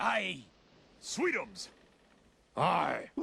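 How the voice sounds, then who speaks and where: A man performs a put-on character voice pitched high. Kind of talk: comic overacting. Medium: solo performance. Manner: boisterous, jokey.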